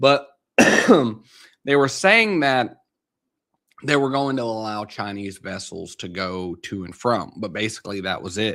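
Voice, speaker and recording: A man at a medium pitch and fairly slow pace, bright and sharp in tone, with big swings in loudness, ordinary pitch variation and a very clean recording with a silent background. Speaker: market commentary livestreamer. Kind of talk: casual live stream commentary.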